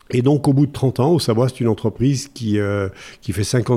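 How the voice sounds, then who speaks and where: A man speaks in a dark, mellow tone. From France, Massif Central. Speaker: wood construction company president. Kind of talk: interview. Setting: studio. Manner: halting.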